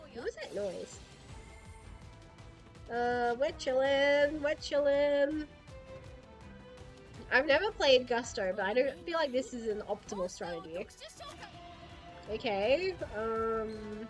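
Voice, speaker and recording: Over music in the background, a woman with a high pitch and lively intonation talks at a very slow pace, leaving long, frequent pauses. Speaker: VTuber. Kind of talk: casual gaming livestream commentary.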